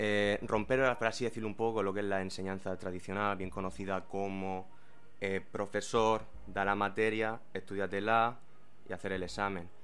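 A man's fairly low, fairly even voice with audible room echo and music in the background. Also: moderate pace. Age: 20s. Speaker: former local mayor and English teacher. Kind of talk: interview. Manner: formal.

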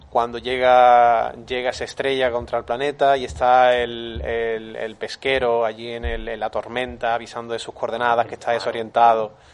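Keeping a moderate pace, a man talks with hardly any pauses in a monotone, flat intonation. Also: medium pitch for a man. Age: 30s. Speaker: film podcast panelist. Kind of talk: casual chat.

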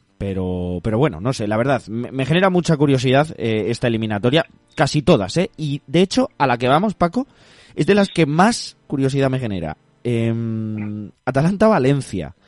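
A man talks at medium pitch and a moderate pace, with very wide pitch swings. The sound is dry and close with no echo, and music plays in the background. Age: 20s. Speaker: football podcast host. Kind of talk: casual football talk.

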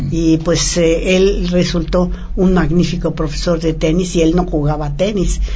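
A woman speaks at a fairly slow pace in a fairly low pitch, her intonation flat and monotone and her loudness very even, with audible room echo and noticeable background noise. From Mexico. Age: 80s+. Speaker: former professional tennis player. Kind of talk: interview. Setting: studio.

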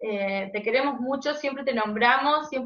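Her pitch high, a woman talks at a fairly slow pace. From Argentina, Jujuy. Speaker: podcast co-host. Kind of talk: casual interview chat.

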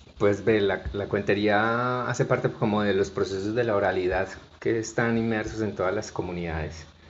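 Against noticeable background noise, a man speaks at a moderate pace in a fairly low pitch with fairly even intonation. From Colombia, Barranquilla and Bucaramanga. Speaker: storyteller and cultural manager. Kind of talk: interview conversation.

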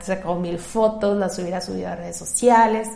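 With audible room echo and noticeable background noise, a woman talks at a medium pitch with ordinary pitch variation. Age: 30s. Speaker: podcast host, therapist. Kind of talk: solo podcast monologue. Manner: conversational, with filler hesitations.

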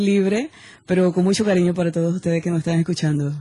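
A woman speaks at a medium pitch in a somewhat breathy voice. Her tone is dark and mellow. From Venezuela. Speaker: singer. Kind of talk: casual interview chat. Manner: animated, halting with repetitions.

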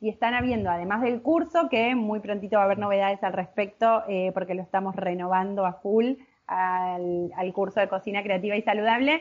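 A woman with a Rioplatense accent speaks fairly quickly at a medium pitch, with ordinary pitch variation and hardly any pauses. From Buenos Aires province, Argentina. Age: 30s. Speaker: cooking instructor. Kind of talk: interview.

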